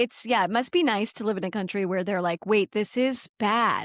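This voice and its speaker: This is an ordinary speaking voice from a woman with a fairly high pitch and lively intonation at a moderate pace. The recording is very clean, with a silent background and a dry, close sound with no echo. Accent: American. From United States. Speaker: podcast co-host. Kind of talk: casual chat.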